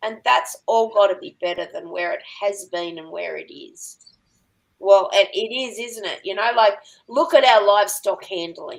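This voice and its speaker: Vocal fry with an Australian accent at a moderate pace, very wide pitch swings and big swings in loudness. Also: woman, medium pitch for a woman. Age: 60s. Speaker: working dog trainer and farmer. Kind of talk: podcast interview.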